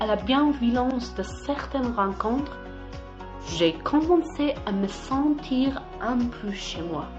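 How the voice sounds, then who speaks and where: With music in the background, a woman speaks at a very slow pace using lively intonation. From Afghanistan. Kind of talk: personal podcast reflection.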